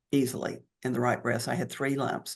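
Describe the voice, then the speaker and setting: With vocal fry and fairly even intonation, a woman speaks at a very deep, low pitch. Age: 70s. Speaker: cancer survivor. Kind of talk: interview.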